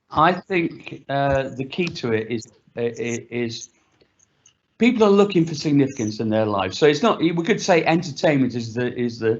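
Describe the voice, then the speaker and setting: In an ordinary speaking voice, a man speaks at a moderate pace with a medium pitch and lively intonation. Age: 60s. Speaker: panelist. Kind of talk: panel discussion.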